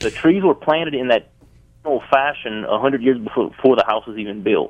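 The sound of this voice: With a Louisiana accent, a man talks fairly quickly at a medium pitch. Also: ordinary pitch variation. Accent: Southern US, Louisiana.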